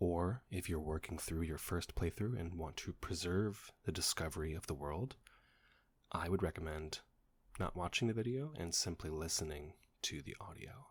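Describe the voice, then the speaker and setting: Whispering at a moderate pace, a man sounds somewhat breathy. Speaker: ASMR creator. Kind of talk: whispered reading.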